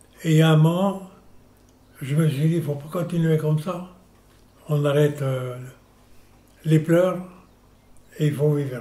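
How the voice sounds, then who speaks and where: At a fairly slow pace, with long, frequent pauses, a man with a fairly high pitch and a dark, mellow tone speaks in fairly even intonation, with audible room echo. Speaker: senior sharing memories. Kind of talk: personal testimony.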